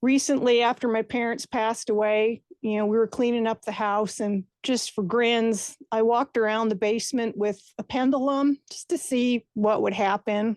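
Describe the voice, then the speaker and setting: An unremarkable speaking voice from a woman with an American accent, fairly high in pitch, fairly even in intonation, at a moderate pace with hardly any pauses, in a dry, close sound with no echo and a quiet background. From US Northeast (Clifton, New Jersey). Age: 60s. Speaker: listener sharing a ghost story. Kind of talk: personal ghost story testimony. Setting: recorded voice memo.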